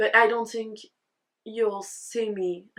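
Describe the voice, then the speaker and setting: Against a quiet background, a woman with a slight French accent talks at a fairly high pitch. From France. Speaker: knitting content creator. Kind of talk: casual vlog talk. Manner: animated.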